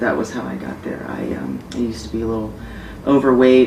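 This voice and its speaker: Over noticeable background noise and audible room echo, a woman with an American accent and a very deep, low pitch speaks with fairly even intonation. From Florida. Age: 20s. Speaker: female bodybuilder and personal trainer. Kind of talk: interview. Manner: hesitant, many fillers.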